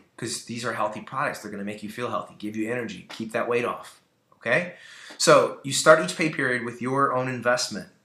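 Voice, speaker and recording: With audible room echo around him, a man speaks very fast in a bright, sharp tone at a medium pitch with ordinary pitch variation. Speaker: network marketing team leader / trainer. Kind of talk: training talk. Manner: animated.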